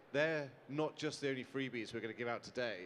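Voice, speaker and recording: A man with a British accent. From UK. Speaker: founder of a hospitality mental health charity. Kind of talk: panel talk on stage. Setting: stage with audience. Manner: animated.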